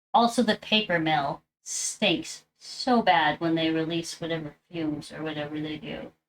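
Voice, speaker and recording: A woman's fairly low voice with an American accent, fairly slow and lively in intonation, with big swings in loudness. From US Midwest, Wisconsin. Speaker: live streamer, crafter. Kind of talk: casual chat. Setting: live stream while crafting.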